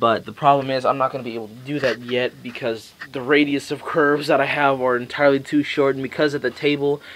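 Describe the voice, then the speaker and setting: This is a man speaking at a medium pitch. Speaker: model railroad hobbyist. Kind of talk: casual video tour. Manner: fast; halting.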